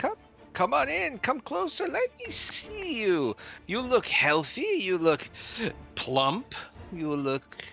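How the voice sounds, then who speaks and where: Cackling in a put-on character voice, a man speaks high and at a fairly slow pace while clear music plays in the background. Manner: creepy, inviting.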